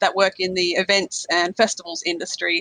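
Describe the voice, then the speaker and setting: A woman's medium-pitched, bright, sharp voice with an Australian accent at a moderate pace, dry and close with no echo. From Australia, South Australia. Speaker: finance blogger and events worker. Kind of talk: podcast interview. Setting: international call.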